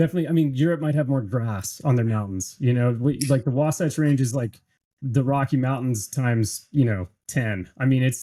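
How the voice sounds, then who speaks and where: At a fairly quick pace, a man speaks with a dark, mellow tone, medium pitch and ordinary pitch variation. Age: 30s. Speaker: podcast host, speed flyer, Navy veteran. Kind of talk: casual chat.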